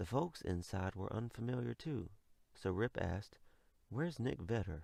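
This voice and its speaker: Soft-spoken and with a Southern US accent, a man speaks at a moderate pace in a fairly low pitch, showing vocal fry and lively intonation. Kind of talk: ASMR bedtime story reading. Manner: quiet, soft-spoken.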